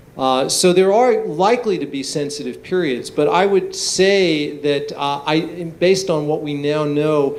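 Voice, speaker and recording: A man speaks at a fairly slow pace and fairly high pitch. Audible room echo and noticeable background noise surround him. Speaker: neuroscientist. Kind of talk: lecture Q&A.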